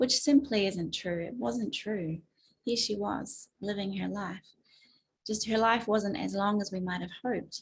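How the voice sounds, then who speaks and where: Somewhat breathy and at medium pitch, a woman with a slight New Zealand accent talks with ordinary pitch variation. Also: fairly slow pace. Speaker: advocate and speaker. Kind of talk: webinar talk.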